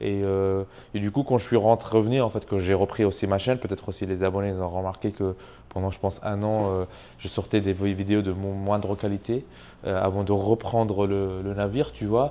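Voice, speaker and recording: A man's fairly low, dark, mellow voice at a fairly quick pace, with fairly even intonation. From Tunisia. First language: not French (speaking French). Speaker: YouTube entrepreneur, channel owner. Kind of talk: casual interview chat. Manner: hesitant, many fillers.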